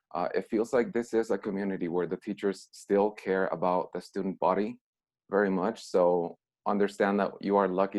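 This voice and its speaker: In a Mexican accent, a man speaks with a fairly low pitch. His intonation is monotone and flat, at a moderate pace. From Mexico. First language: Spanish. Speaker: former student, alumni speaker. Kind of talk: video call talk to students.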